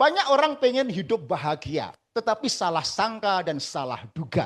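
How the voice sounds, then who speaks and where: The man's tone is animated, and his pitch swings very widely. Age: 60s. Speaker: religious motivational speaker. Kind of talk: seminar talk.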